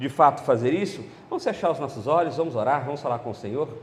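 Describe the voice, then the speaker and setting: A man's speech moves fairly quickly, his pitch swinging very widely. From central Brazil (Goiás, Brasília, Belo Horizonte). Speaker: pastor. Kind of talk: sermon. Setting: church conference.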